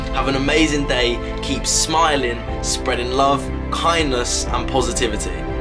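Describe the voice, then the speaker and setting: Loud background noise fills the clip as a man speaks at a fairly slow pace. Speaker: motivational speaker. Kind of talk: motivational talk to camera. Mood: warm, encouraging. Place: home room. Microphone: phone near.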